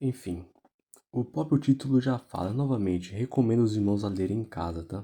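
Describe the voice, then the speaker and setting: Quiet and fairly low-pitched, a man speaks in a dark, mellow tone with ordinary pitch variation on a very clean recording with a silent background. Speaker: gaming youtuber who preaches. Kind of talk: casual sermon over gameplay. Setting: at home at night. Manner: quiet, speaking low.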